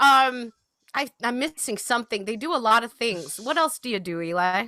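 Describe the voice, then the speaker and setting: At a moderate pace, a woman with a fairly high pitch speaks in a bright, sharp tone with lively intonation. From mixed English, Middle Eastern, Indian upbringing. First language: French. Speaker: show co-host. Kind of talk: casual chat. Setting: video call.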